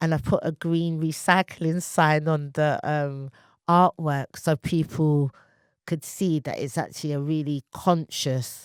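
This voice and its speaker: Speaking fairly slowly, a woman uses a very deep, low pitch and monotone, flat intonation in a very clean, dry, close recording with a silent background and no echo. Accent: British. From England. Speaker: poet and artist. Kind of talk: interview conversation.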